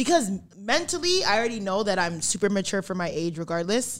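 A woman talks at a medium pitch. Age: 20s. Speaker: podcast host. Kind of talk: casual chat. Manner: animated.

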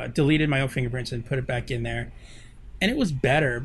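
Using a put-on character voice, a man speaks at a very fast pace. His voice is raspy and sits at a medium pitch. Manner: disappointed.

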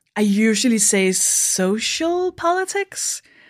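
A woman with a Danish accent talks at a medium pitch with lively intonation in a very clean recording with a silent background. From Denmark. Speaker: stand-up comedian. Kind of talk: casual chat. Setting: in person, drinking beer together.

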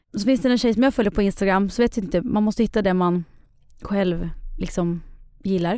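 On a very clean recording with a silent background, a woman talks fairly quickly at a medium pitch and a very even loudness. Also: ordinary pitch variation. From Sweden, Eskilstuna. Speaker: expectant mother. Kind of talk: casual chat.

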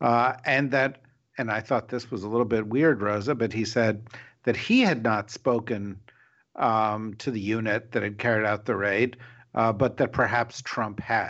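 Here is a man with a plain, everyday voice at a medium pitch. He speaks at a moderate pace with fairly even intonation. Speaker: podcast host. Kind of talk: casual panel discussion.

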